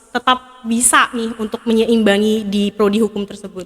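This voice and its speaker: Over noticeable background noise, a woman speaks in a fairly high pitch with monotone, flat intonation. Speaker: podcast host. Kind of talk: casual podcast interview, mixing English.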